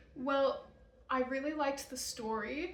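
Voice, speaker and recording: A woman with an American accent speaks at a moderate pace, her pitch high and her intonation lively. Audible room echo surrounds her voice. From Utah. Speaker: vlogger. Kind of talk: casual chat.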